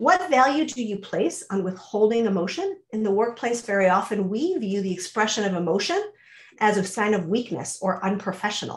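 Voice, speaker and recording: With an American accent, a woman talks fairly quickly at a fairly high pitch. Her intonation is lively and her voice somewhat breathy. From US suburbs. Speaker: mentoring coach, company CEO. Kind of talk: webinar presentation. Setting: online webinar. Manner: fast.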